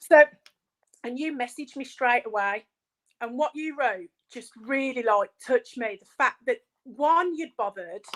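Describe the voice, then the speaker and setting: A woman speaks at a high pitch with lively intonation and big swings in loudness. The sound is dry and close with no echo. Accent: Birmingham. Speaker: small business owner. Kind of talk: casual chat.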